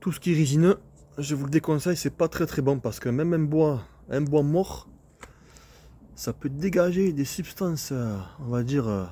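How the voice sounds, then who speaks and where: A man with a southern French accent, fairly high in pitch and dark, mellow in tone, at a moderate pace with long, frequent pauses. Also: ordinary pitch variation. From southern France. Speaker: landscape gardener and video maker. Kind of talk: casual tutorial video. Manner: casual, hesitant with fillers.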